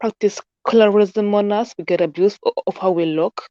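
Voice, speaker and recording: The voice has a dark, mellow tone, moves at a moderate pace, and sounds dry and close with no echo. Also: woman. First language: not English. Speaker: caller. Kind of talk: casual discussion. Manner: halting.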